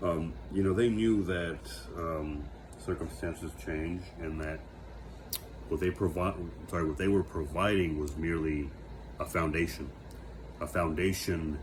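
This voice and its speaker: With an American accent, this voice moves at a fairly slow pace with ordinary pitch variation, long and frequent pauses, vocal fry, and audible room echo. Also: man, very deep, low pitch for a man. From United States. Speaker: vlogger. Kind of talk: reflective monologue. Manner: halting, many fillers and self-corrections.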